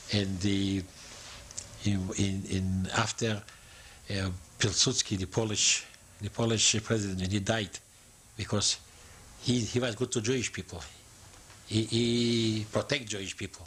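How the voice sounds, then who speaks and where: Speech with monotone, flat intonation comes through noticeable background noise. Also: man. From eastern Poland. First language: Yiddish. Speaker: Holocaust survivor. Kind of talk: oral history interview. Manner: halting.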